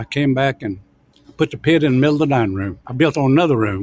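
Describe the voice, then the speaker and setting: A man talks at a very fast pace in a Southern US accent. His pitch sits in the medium range. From US South, Alabama. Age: 80s+. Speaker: restaurant owner. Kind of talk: interview.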